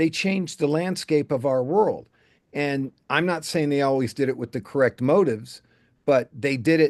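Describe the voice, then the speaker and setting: A man talks at a moderate pace with ordinary pitch variation, in a plain, everyday voice. The background is quiet. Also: fairly high pitch for a man. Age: 60s. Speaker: political candidate, army veteran. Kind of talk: interview.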